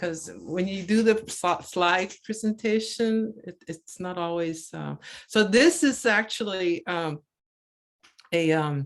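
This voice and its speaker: A woman with a Maritime Canadian accent, medium in pitch, at a very slow pace, with ordinary pitch variation and big swings in loudness. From Cape Breton, Nova Scotia (Mi'kmaq). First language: Mi'kmaq. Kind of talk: presentation over video call. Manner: halting, many repetitions and fillers.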